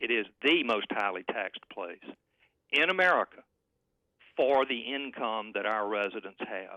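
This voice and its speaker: A man with a Southern US accent, fairly low in pitch, at a moderate pace. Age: 60s. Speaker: political analyst. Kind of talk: heated debate. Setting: phone call. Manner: animated.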